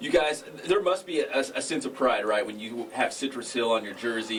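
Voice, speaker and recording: With an American accent, a man talks at a fairly quick pace in a medium pitch, using ordinary pitch variation. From Northern California. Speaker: sports radio host. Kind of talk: sports talk interview. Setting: radio studio. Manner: loud.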